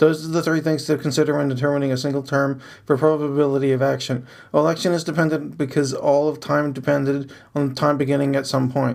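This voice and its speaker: A man talks at a very fast clip in a fairly high voice, his delivery monotone and flat, captured in a very clean recording against a silent background. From abroad, moved to US South Carolina as child. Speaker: podcaster reading own journal. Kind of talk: reading aloud.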